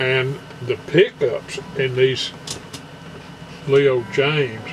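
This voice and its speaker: Through noticeable background noise, a man at a medium pitch speaks very slowly in a monotone, flat delivery. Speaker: guitar player. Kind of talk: casual talk to camera.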